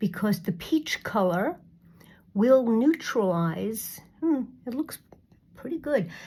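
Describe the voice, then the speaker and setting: A woman's fairly high, dark and mellow voice, somewhat breathy and very slow, with very wide pitch swings and long, frequent pauses. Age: 60s. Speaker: beauty vlogger. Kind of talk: makeup tutorial. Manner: halting.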